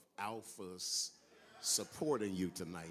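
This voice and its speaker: A man speaks in a fairly low pitch with an American accent and fairly even intonation. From California. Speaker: guest preacher. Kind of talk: sermon. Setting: church.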